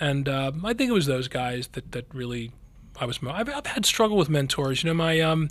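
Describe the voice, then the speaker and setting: A man with an American accent has a normal speaking voice at a fairly high pitch. He talks at a fairly quick pace with lively intonation. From Philadelphia area, US. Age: 50s. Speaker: neurosurgeon. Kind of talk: interview.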